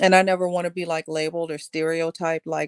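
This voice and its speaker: A woman's very fast, lively-toned voice at a fairly low pitch, dry and close with no echo. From Texas. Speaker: works in customer service; makes videos. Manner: speaks very clearly, easy to understand.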